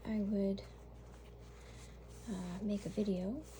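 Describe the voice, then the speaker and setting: Soft-spoken and at a very slow pace, the voice comes through noticeable background noise. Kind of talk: ASMR show and tell.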